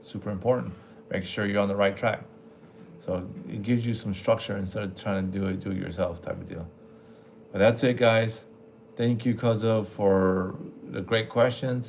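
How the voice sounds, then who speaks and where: This man talks at a fairly low pitch, leaving long, frequent pauses. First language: Spanish. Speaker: military veteran aircraft maintenance mentor. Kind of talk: livestream Q&A, casual. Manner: casual, halting with fillers.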